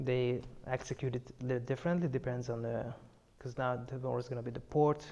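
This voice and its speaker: Speaking at a fairly quick pace in a Hungarian accent, this voice has a dark, mellow tone and a monotone, flat intonation. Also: man, medium pitch for a man. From eastern Hungary. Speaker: personal trainer. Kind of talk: casual chat. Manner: halting.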